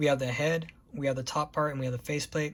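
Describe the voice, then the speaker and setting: At a fairly quick pace, a man talks with a somewhat breathy, fairly high pitch and fairly even intonation on a very clean recording with a silent background. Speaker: model kit reviewer. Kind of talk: product review tutorial. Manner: fast; casual, halting with fillers.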